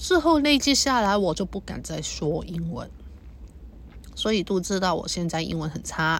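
Delivered at a moderate pace, the speech comes through as a very clean recording over a silent background. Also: woman. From Hong Kong. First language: Cantonese (speaking Chinese). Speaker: podcaster. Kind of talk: personal monologue. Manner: halting.

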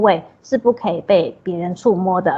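A woman's voice with ordinary pitch variation. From Taiwan, Taipei. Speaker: social worker. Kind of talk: interview.

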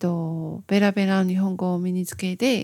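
A woman with a Taiwanese accent talks at a fairly slow pace in a medium pitch with monotone, flat intonation. The recording is very clean with a silent background and a dry, close sound with no echo. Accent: Taiwanese-accented Japanese. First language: Mandarin Chinese (speaking Japanese). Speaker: podcaster. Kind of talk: casual monologue. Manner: halting.

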